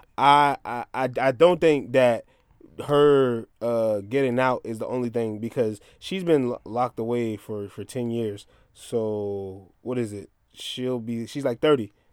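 In a very clean recording with a silent background, a man with an American accent and a plain, everyday voice speaks at medium pitch with ordinary pitch variation and big swings in loudness. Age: 30s. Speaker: podcast co-host. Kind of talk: casual chat.

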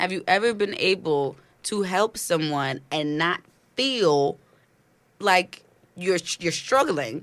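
A woman with an American accent speaks very slowly at a fairly low pitch, with lively intonation and long, frequent pauses, on a very clean recording with a silent background. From New York City (Brooklyn, Flatbush). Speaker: entrepreneur. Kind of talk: casual chat.

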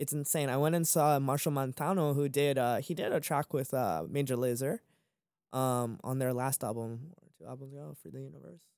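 In a plain, everyday voice with an American accent, the speaker moves at a fairly quick pace with ordinary pitch variation and big swings in loudness, on a very clean recording with a silent background. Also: man, medium pitch for a man. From Maryland, US. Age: 20s. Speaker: music producer and label founder. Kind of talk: casual interview chat.

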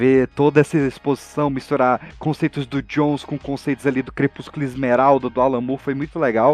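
A man speaks fairly quickly, with hardly any pauses, in a medium pitch and a monotone, flat delivery. The sound is dry and close, with no echo. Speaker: podcaster guest. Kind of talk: casual chat.

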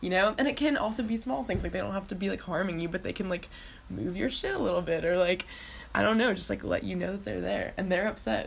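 A woman with an American accent at a very fast pace, against noticeable background noise. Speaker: student podcast co-host. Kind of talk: casual chat.

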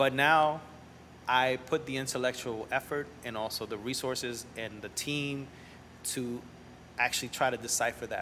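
Delivery comes at a moderate pace with fairly even intonation. The speaker has a Spanish accent. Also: man, medium pitch for a man. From New Orleans, from age 10; early childhood in Central America and Montreal. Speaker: entrepreneur, restaurant and school founder. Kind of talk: casual interview chat. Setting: coffee shop bookstore.

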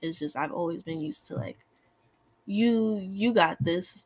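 A woman with a medium pitch and a somewhat breathy voice speaks at a fairly slow pace, with very wide pitch swings. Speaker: host's daughter, guest. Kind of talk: casual chat.

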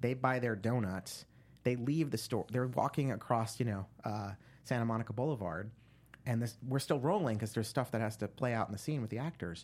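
In an American accent and a plain, everyday voice, the speaker moves at a fairly quick pace over a very clean recording with a silent background. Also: man, medium pitch for a man, ordinary pitch variation. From New Jersey. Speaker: screenwriter and producer. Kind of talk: interview.

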